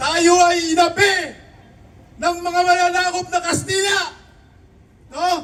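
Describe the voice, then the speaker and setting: Slow-paced with long, frequent pauses, a man speaks at an extremely high pitch with monotone, flat intonation. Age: 60s. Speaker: political commentator. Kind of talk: political commentary.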